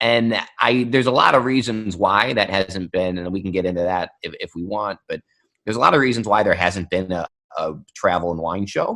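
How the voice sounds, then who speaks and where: This man has an American accent and a fairly low pitch. His pitch variation is ordinary. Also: fairly quick pace. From US Midwest, Ohio (Cleveland suburb). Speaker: wine show host and sommelier. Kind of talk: podcast interview.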